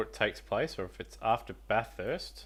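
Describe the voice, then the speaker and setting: The recording is very clean with a silent background. A man with an Australian accent talks at a moderate pace. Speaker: sim racing commentator. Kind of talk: live commentary. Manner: quiet.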